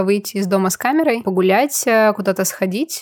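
A woman talks at a fairly quick pace with a medium pitch and a plain, everyday voice. The sound is dry and close, with no echo. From Prokopyevsk, Kemerovo region, Russia. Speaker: podcast co-host, photographer. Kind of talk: casual chat.

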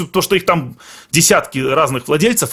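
The voice has lively intonation and vocal fry. Its pace is moderate. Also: man. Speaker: Russian emigrant in Finland. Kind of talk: casual chat. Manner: halting.

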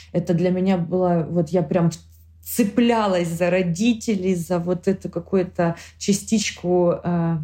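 Delivered at a fairly slow pace, the voice has a dark, mellow tone, a somewhat breathy quality and ordinary pitch variation. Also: woman. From Ukraine, Kharkiv. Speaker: war refugee. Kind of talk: personal testimony.

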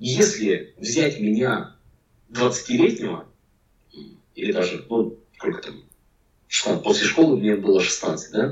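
In a room with audible echo, a man speaks at medium pitch in a somewhat breathy voice, very slowly and with long, frequent pauses, his pitch swinging very widely. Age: 40s. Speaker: packaging designer. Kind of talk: casual interview chat.

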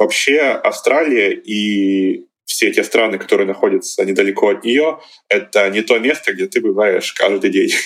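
A man's voice at a moderate pace, with very even loudness. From Russia, Izhevsk (Udmurtia, Volga region). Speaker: master's student and traveller. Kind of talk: interview.

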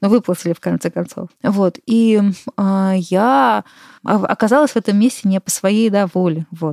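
In a very clean recording with a silent background, a woman speaks at a moderate pace in a medium pitch with ordinary pitch variation, a dark, mellow tone, and a dry, close sound with no echo. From Moscow, Russia. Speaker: artist and curator. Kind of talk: interview conversation. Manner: hesitant with many fillers.

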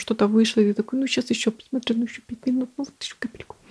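The sound is dry and close, without any echo. A woman talks with a fairly high pitch that varies in an ordinary way. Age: 20s. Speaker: podcast host. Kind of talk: casual solo monologue. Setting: at home.

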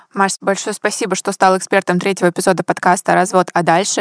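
At a very fast pace, a woman with a medium pitch talks, the sound dry and close with no echo. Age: 20s. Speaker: podcast host. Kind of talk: podcast interview.

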